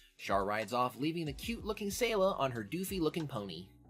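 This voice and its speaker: Over music in the background, a man speaks very fast in a fairly high voice with very wide pitch swings. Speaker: podcast host. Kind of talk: casual chat. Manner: casual, profane.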